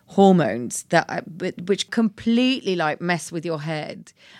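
In a very clean recording with a silent background and a dry, close sound with no echo, a woman with a British accent speaks with fairly low pitch and lively intonation. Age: 40s. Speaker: body positivity activist, former stylist. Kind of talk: casual chat.

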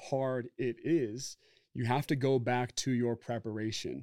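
A man with an American accent speaks in an unremarkable speaking voice at medium pitch. His intonation is fairly even, and the recording is very clean with a silent background. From Oregon, US. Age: 30s. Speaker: former football player and entrepreneur. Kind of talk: casual interview.

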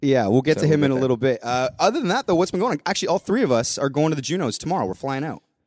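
Speaking very fast with hardly any pauses, a man uses a fairly high pitch. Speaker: podcast host. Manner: casual, joking.

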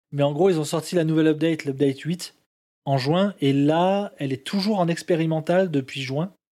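Fairly high in pitch, this man's voice has a dark, mellow tone and fairly even intonation. The recording is very clean, with a silent background. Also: moderate pace. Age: 30s. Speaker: gamer. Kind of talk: casual chat.

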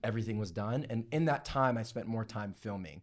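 Speaking at a fairly quick pace in an energetic tone, a man with a Canadian accent uses a medium pitch and ordinary pitch variation on a very clean recording with a silent background. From Toronto, Canada. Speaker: TikTok creator and former reality TV contestant. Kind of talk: casual chat.

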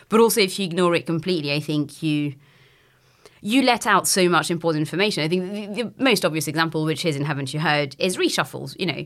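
Her pitch is fairly low, with ordinary variation. The woman speaks at a very fast pace. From France. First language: French. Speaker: political journalist and author. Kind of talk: interview.

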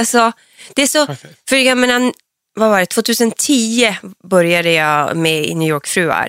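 Pitch swings very widely from a medium base as this woman talks at a moderate pace. Her voice sounds dry and close, with no echo. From northern Sweden (Norrland, Piteå area). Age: 40s. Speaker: reality TV personality. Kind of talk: casual interview.

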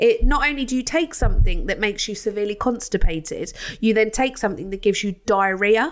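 The speaker has a British accent and a very fast pace. The intonation is lively. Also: woman, fairly high pitch for a woman. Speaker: podcast host. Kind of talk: casual chat.

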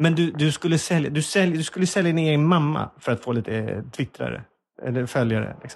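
Speaking at a fairly quick pace, a man uses a plain, everyday voice with a fairly high pitch and ordinary pitch variation. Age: 40s. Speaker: comedy podcast host. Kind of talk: casual chat. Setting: small office.

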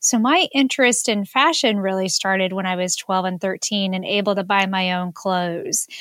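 It's an ordinary speaking voice at a moderate pace. The recording is very clean, with a silent background. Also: woman. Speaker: podcast co-host. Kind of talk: casual chat.

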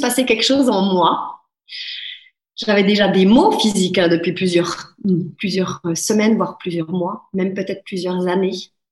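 At a moderate pace, a woman talks in a medium pitch with an unremarkable speaking voice. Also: ordinary pitch variation. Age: 30s. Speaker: life coach. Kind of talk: interview.

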